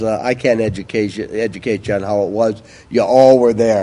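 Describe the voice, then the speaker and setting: A dark, mellow tone with a Bronx accent and ordinary pitch variation. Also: man. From New York, the Bronx. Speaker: recovery speaker. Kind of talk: testimony.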